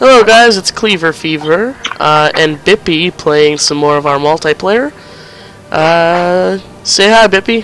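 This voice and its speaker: Over noticeable background noise, a man with a high voice speaks fairly slowly, his pitch varying in an ordinary way. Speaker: gaming video creator. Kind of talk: casual gameplay commentary. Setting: online voice chat.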